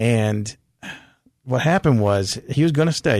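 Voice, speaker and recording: A man with an American accent has an unremarkable speaking voice. His pitch is medium, with ordinary variation. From California. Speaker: author and school teacher. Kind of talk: interview about faith.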